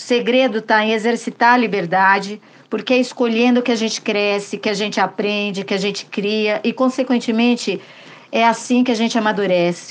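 A woman with a normal speaking voice, fairly high in pitch, fairly even in intonation and at a moderate pace. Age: 50s. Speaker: listener sending voice message. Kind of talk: recorded testimony.

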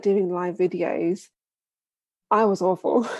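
A woman's dark, mellow voice with a British accent, at a fairly slow pace. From UK. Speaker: video marketing business founder. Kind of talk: casual interview chat.

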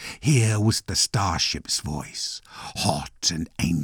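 The speaker does plain reading aloud, the intonation lively throughout.

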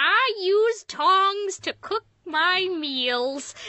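A woman's raised, projected, put-on character voice at an extremely high pitch

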